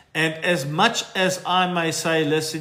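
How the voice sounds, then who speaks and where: A fairly high-pitched man with audible room echo. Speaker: financial adviser hosting live Q&A. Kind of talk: live stream Q&A. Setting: TikTok live stream. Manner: casual, conversational.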